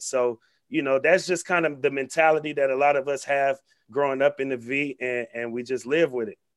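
A man with an American accent, fairly high pitch, fairly even intonation and a fairly quick pace. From Vallejo, California (Bay Area). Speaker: sports broadcaster and activist. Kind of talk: casual interview.

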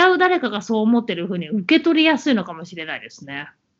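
A woman's fairly high voice rises and falls in very wide pitch swings. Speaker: podcast co-host. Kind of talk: casual chat.

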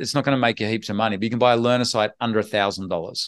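A man with an Australian accent at a medium pitch, ordinary pitch variation and a quiet background. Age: 50s. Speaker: online business investor and educator. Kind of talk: interview.

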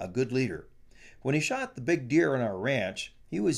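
A natural voice reads the text aloud.

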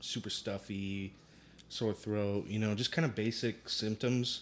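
An unremarkable speaking voice, a man's with a fairly low pitch and fairly even intonation, moves at a moderate pace on a very clean recording with a silent background. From US suburbs, Puerto Rican heritage. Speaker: musician and rideshare driver. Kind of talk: casual chat.

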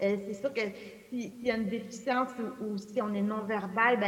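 A woman with a fairly high pitch talks in a monotone, flat way while noticeable background noise continues. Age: 40s. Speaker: novelist. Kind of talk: public book talk.

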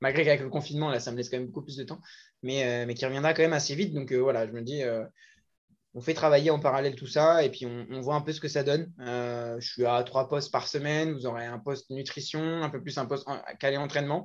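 Against a quiet background, the speaker talks very fast with fairly even intonation and big swings in loudness. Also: man, fairly high pitch for a man. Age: 20s. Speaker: fitness coach. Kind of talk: casual chat.

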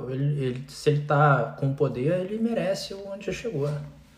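A man speaks at a moderate pace with a fairly high pitch. Noticeable background noise and audible room echo surround him. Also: hardly any pauses, big swings in loudness. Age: 40s. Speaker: news commentator. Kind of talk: casual chat.

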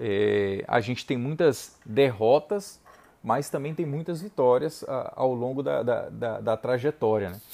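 Intonation rises and falls in a lively way. The tone is dark and mellow. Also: man, medium pitch for a man. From Brazil, Ceará interior (Saboeiro). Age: 30s. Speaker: lawyer and teacher. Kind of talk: motivational talk.

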